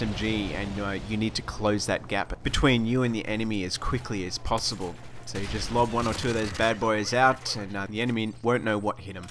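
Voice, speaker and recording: A man at a medium pitch and a fairly quick pace, with noticeable background noise. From Australia, Sydney. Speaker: gaming video host. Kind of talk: gaming tutorial. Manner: casual, enthusiastic.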